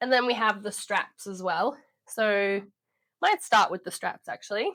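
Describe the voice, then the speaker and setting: This woman speaks fairly slowly at a medium pitch with ordinary pitch variation. Her tone is bright and sharp, and the sound is dry and close with no echo. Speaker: sewing pattern designer. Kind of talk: tutorial. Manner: casual, conversational.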